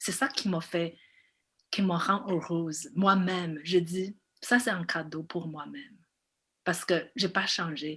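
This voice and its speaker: A woman speaks at a very slow pace with long, frequent pauses, fairly low pitch and ordinary pitch variation. The recording is very clean with a silent background. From China. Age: 40s. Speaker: film director. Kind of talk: interview. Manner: halting.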